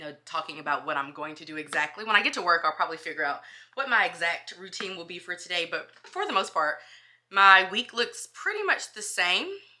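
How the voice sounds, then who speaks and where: A woman's fairly low voice at a fairly quick pace, with big swings in loudness. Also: ordinary pitch variation. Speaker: school social worker and lifestyle vlogger. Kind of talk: casual vlog chat. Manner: fast.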